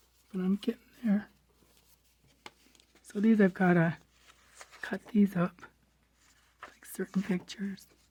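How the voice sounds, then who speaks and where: A woman's somewhat breathy, dark, mellow voice at a medium pitch, flat and monotone, fairly slow with long, frequent pauses and big swings in loudness, in a dry, close sound with no echo. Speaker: crafting vlogger. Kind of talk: casual show-and-tell. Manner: casual, chatty.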